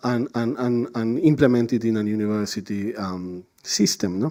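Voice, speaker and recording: A man speaks with a Spanish accent in a dark, mellow tone. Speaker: conference panelist. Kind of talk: conference talk. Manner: halting, many fillers and repetitions.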